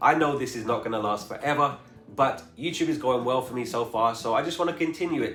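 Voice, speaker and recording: A man with an American accent talks at a fairly quick pace and medium pitch with ordinary pitch variation, amid noticeable background noise and audible room echo. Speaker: travel vlogger. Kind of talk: casual Q&A vlog.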